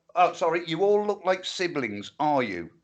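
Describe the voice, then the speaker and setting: A man with an English accent, a bright, sharp tone and lively intonation. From England. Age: 60s. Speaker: livestream co-host. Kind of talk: casual chat. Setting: livestream.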